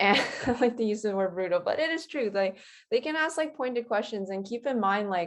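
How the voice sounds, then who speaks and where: A woman with an unremarkable speaking voice talks at a fairly quick pace in a fairly high pitch, her intonation lively against a quiet background. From Canada, Winnipeg. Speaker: graduate scholarship recipient. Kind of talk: casual chat.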